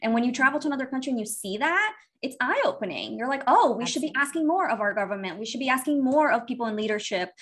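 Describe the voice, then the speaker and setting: Over noticeable background noise, a woman with a high voice talks at a very fast pace with hardly any pauses, her tone animated and her intonation lively. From Miami, Brazilian-born. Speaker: money coach. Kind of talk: casual chat.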